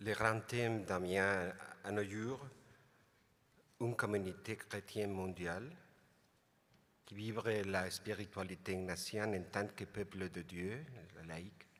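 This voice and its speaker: A man with a non-native accent, fairly low in pitch, with fairly even intonation, a very slow pace and long, frequent pauses. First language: not French (speaking French). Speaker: international lay community representative. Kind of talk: prepared speech. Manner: halting.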